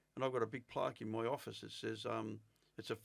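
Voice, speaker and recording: Talking very fast, a man speaks with an Australian accent. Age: 60s. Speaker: former career criminal. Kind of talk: interview.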